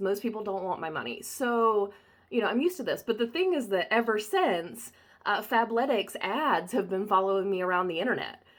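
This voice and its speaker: Someone speaks at a fairly quick pace with a Southern US accent. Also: woman, fairly high pitch for a woman, lively intonation. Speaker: body-positive photographer. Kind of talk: casual talk to camera.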